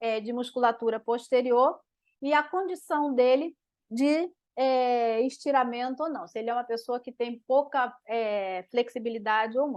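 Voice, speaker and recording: A woman speaks at a moderate pace in a high pitch. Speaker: physiotherapist. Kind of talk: live webinar lecture. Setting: online live stream.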